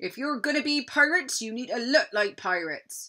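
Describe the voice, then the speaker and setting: Using a put-on character voice, a woman speaks high and at a fairly quick pace. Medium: read story. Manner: blustering pirate talk.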